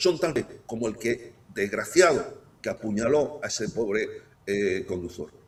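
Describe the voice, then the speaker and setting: A man at a fairly slow pace with very wide pitch swings, over noticeable background noise. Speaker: guest analyst. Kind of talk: talk show discussion. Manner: animated.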